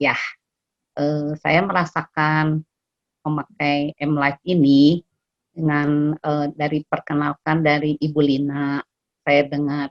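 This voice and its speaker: Delivered at a very slow pace in a monotone, flat intonation, the speech has a dry, close sound with no echo. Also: woman, very deep, low pitch for a woman. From Indonesia, West Java (Bandung). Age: 60s. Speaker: customer giving testimonial. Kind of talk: testimony. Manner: halting, many fillers.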